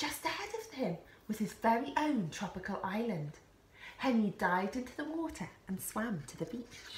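This is a natural reading voice. It reads the text plainly.

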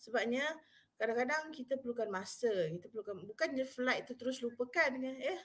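A woman talks at a fairly quick pace with a high pitch and ordinary pitch variation. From Malaysia. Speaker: university psychology officer and webinar speaker; webinar speaker. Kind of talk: live webinar talk. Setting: live online stream. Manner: casual, code-switching Malay-English. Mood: friendly, relaxed. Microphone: webcam.

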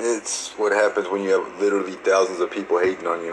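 A man's low voice, fast and with little pitch movement, over faint background noise

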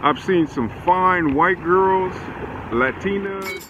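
A man talks at a very slow pace in a high pitch, with a fairly bright tone. His pitch varies in an ordinary way, and there is faint background noise.

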